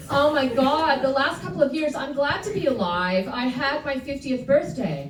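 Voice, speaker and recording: Her voice is high-pitched and moves at a moderate pace with hardly any pauses. The woman is heard with audible room echo and noticeable background noise. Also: lively intonation. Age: 60s. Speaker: stand-up comedian. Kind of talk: stand-up. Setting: stage with audience.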